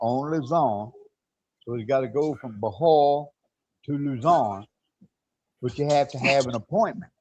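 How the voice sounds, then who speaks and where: Moderate pace, ordinary pitch variation and a Southern US accent. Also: man. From US South, Mississippi. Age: 60s. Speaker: expat commentator on a live stream. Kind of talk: casual chat.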